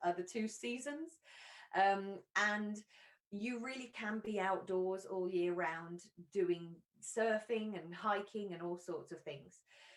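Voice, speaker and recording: With an English accent, a woman speaks very slowly at a medium pitch with ordinary pitch variation. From England. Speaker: university recruitment representative. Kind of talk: presentation. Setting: live online stream. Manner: hesitant with fillers.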